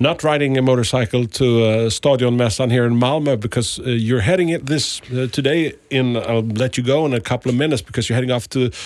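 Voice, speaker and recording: A man with a Swedish accent talks at a very fast pace with hardly any pauses. His medium-pitched voice has ordinary pitch variation and very even loudness. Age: 50s. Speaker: radio host. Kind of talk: radio interview. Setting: radio studio.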